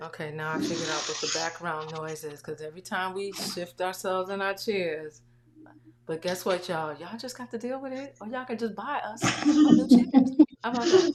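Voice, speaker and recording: A soft-spoken voice at a fairly quick pace, with very wide pitch swings, big swings in loudness and noticeable background noise. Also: woman, medium pitch for a woman. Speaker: online talk show host. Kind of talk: casual interview livestream. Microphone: volume turned up, was too quiet.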